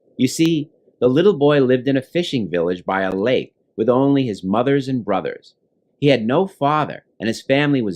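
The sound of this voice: Lively intonation runs through an unforced reading voice set against a quiet background.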